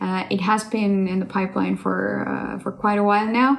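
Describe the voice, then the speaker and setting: A woman with an Estonian accent speaks at a moderate pace and a medium pitch. Audible room echo and noticeable background noise are present. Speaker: voice actress and singer. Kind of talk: casual talk about herself.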